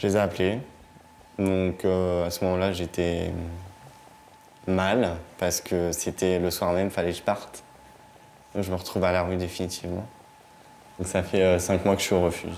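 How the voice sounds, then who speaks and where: Pausing long and often, a man speaks at a moderate pace. His very deep, low voice stays monotone and flat. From northern France, Vernon, Normandy. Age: 20s. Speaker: young homeless resident of a shelter. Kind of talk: documentary interview testimony. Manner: halting.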